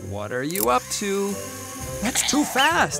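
A man is speaking. Music can be heard behind him. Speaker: narrator. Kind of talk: preschool cartoon narration. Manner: good-natured, friendly.

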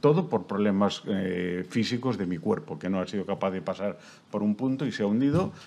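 With ordinary pitch variation, a man talks at a fairly quick pace in a fairly low, dark and mellow voice. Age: 70s. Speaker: heart patient. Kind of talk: testimony. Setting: stage with audience. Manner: animated.

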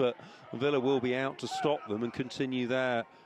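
With an animated tone and medium pitch, a man speaks at a moderate pace in a dry, close sound with no echo, though noticeable background noise is present. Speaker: football commentator. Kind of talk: live sports commentary. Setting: stadium match commentary over highlights. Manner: animated, excitable, rising in pitch at goals.

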